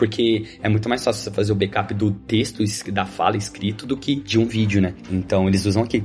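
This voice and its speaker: Noticeable background noise sits behind the voice. A man of medium pitch speaks at a fairly quick pace. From Brazil, São Paulo state (Suzano). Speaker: software developer. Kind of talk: casual interview.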